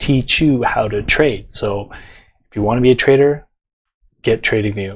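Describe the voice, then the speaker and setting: The voice is quiet, a man's at medium pitch. He keeps a moderate pace with fairly even intonation. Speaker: forex trading teacher. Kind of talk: tutorial. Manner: casual, filler-heavy.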